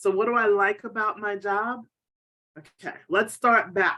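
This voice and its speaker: A bright, sharp tone at a fairly slow pace. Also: woman. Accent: New York. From New York, South Bronx. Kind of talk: interview.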